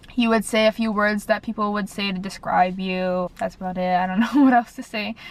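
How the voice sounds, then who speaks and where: Using an unremarkable speaking voice, a woman speaks at a fairly quick pace and medium pitch with fairly even intonation. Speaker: dental school applicant vlogger. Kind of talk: casual vlog tips. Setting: in a car.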